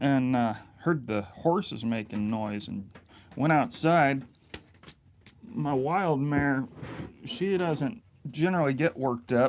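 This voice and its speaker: A man at a fairly slow pace, with lively intonation. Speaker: off-grid bushcraft vlogger. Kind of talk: casual live-stream chat while cooking. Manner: loud; halting, many fillers.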